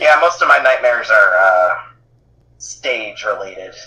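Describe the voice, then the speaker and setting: A man delivers a raspy, put-on character voice at a moderate pace. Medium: actual play. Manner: polite, hesitant.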